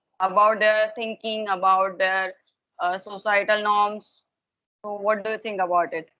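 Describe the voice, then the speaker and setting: Speaking at a fairly slow pace, a woman keeps to a monotone, flat intonation. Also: medium pitch for a woman. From Maharashtra, India. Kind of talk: casual English practice conversation. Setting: online video call.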